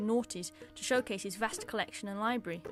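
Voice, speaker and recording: With music in the background, a woman with an English accent speaks at a fairly high pitch and a very fast pace. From England. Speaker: artist. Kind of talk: scripted narration.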